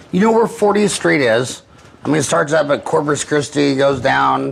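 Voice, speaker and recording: A man keeps a moderate pace while noticeable background noise continues around him. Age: 50s. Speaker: podcast host. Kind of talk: casual chat.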